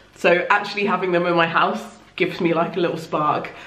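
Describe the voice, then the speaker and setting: The speech moves at a fairly quick pace with fairly even intonation and very even loudness, and audible room echo surrounds it. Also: woman. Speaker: book vlogger. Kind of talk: casual vlog chat. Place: home room.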